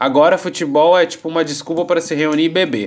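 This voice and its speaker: Pitched high, a man's voice rushes along very fast. The intonation is lively. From Brazil. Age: 30s. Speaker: podcast host. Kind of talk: casual chat. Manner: halting, many fillers.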